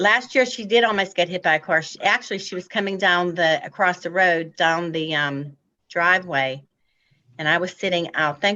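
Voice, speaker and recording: A woman with an unremarkable speaking voice and a fairly low pitch talks at a moderate pace with ordinary pitch variation. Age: 60s. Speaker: applicant at zoning hearing. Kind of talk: public hearing testimony.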